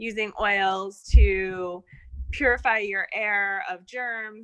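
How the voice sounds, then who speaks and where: A woman talks at a very slow pace. Her medium pitch stays in monotone, flat intonation. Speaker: essential oils presenter. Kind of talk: online group presentation.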